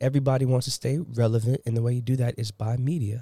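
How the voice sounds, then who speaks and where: Somewhat breathy and dark, mellow in tone, a man speaks at a very fast pace with fairly even intonation. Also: dry, close sound with no echo. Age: young. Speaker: podcast guest. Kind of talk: casual chat.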